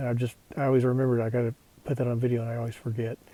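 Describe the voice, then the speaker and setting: Very fast and monotone, a man with an American accent speaks at medium pitch in a dark, mellow, somewhat breathy voice. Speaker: hiking vlogger. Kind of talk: casual vlog narration. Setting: outdoors on a mountain trail. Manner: hesitant, many fillers.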